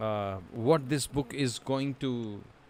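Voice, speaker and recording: A man's medium-pitched voice with an Indian accent, at a very slow pace. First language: Hindi. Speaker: voiceover learner, streamer. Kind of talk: casual chat; reading aloud. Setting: live stream. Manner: hesitant, many fillers.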